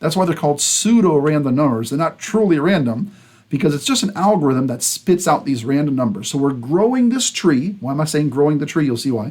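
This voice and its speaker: A man's fairly high voice, an unremarkable speaking voice, with lively intonation, a fairly quick pace and hardly any pauses. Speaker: computer science instructor. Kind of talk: lecture.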